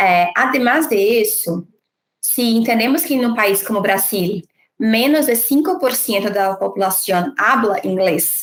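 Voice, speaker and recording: With a Brazilian accent, a woman speaks fairly slowly in a fairly high voice, her intonation lively and her loudness very even. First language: Portuguese (speaking Spanish). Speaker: diversity and inclusion leader. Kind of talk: panel interview.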